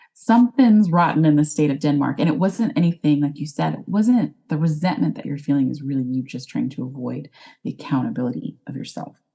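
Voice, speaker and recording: Speaking at a fairly quick pace with hardly any pauses, a woman uses lively intonation in a very deep, low pitch. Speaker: life coach, former wedding planner. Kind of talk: podcast interview.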